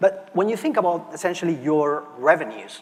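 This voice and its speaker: With a Barcelona accent, a man talks at a moderate pace. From Spain, Barcelona. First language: Spanish. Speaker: market research analyst. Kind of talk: conference presentation. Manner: frequent fillers and restarts.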